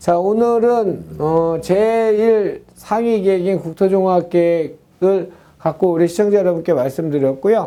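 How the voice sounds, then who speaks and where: The delivery is very slow, yet hardly any pauses break it up. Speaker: land investment lecturer. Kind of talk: lecture.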